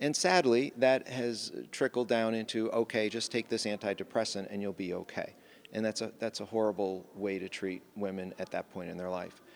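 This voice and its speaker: This man's voice sits fairly low, with ordinary pitch variation. He talks at a moderate pace. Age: 60s. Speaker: physician, OB/GYN. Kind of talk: interview. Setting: live at a conference in Las Vegas.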